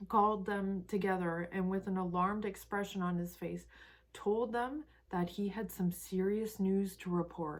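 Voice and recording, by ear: A passage read aloud in a natural voice, its intonation fairly even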